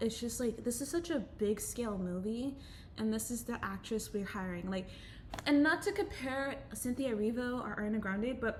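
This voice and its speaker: Over noticeable background noise, a woman speaks at a moderate pace. Her pitch is fairly high, with ordinary variation. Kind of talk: casual talk to camera. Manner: hesitant, many filler words.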